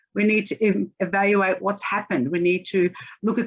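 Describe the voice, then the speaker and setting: At a moderate pace, a woman speaks with an Australian accent, a medium pitch and ordinary pitch variation. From Australia (Melbourne). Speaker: agile coach and consultant. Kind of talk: conference talk.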